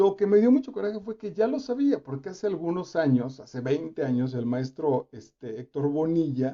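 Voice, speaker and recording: The speaker is a man with a Mexican accent. He keeps a moderate pace. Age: 50s. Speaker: actor and reading host. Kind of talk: reading commentary livestream. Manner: casual, animated.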